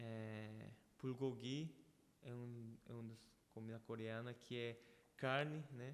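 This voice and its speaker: A man speaks very slowly at medium pitch, with long, frequent pauses. His intonation is monotone and flat. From Brazil (Paraná) and Paraguay, Korean family. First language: Korean (speaking Portuguese). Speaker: church member guest. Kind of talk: casual interview, testimony. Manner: halting, with repetitions.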